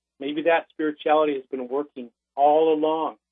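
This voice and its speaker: A man's fairly high-pitched voice with monotone, flat intonation. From Lakota Nation, South Dakota. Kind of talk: interview answer.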